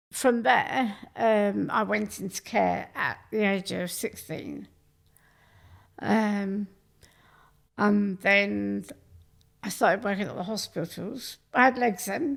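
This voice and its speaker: A woman speaks with a Cornish accent. Her voice has a medium pitch. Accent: southern English accent (Cornwall). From southern England, Cornwall and Sussex. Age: 50s. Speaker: viral video personality, guest. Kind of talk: casual chat. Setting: studio.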